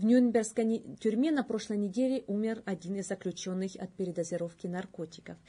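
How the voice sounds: A woman's medium-pitched voice with a dark, mellow tone at a moderate pace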